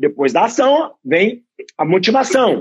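A man speaks at a high pitch. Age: 40s. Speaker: running coach and entrepreneur. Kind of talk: casual chat.

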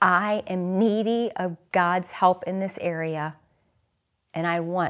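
A woman with an American accent, fairly low in pitch, with ordinary pitch variation. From US Midwest, St. Louis. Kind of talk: interview.

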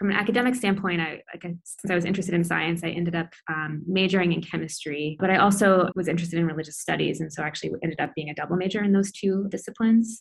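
With a Midwestern US accent, a woman talks very fast with hardly any pauses, somewhat breathy and fairly even in intonation. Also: fairly low pitch for a woman. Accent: General American, Midwestern. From US Midwest, Iowa City. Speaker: pediatric intensive care doctor. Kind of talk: interview, casual.

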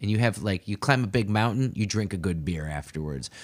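A man with a fairly low voice talks at a moderate speed in an unremarkable speaking voice. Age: 30s. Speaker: podcast host and new dad, spin instructor. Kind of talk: casual chat. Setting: home basement, in person.

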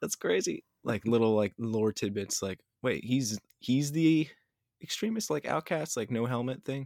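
A man's normal speaking voice at medium pitch, moderate pace and lively intonation, with a dry, close sound and no echo. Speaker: podcast host. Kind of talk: casual chat.

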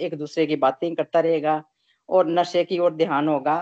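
A woman's fairly low, flat monotone, dry and close with no echo over a quiet background. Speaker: satsang participant. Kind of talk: group discussion. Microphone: poor connection.

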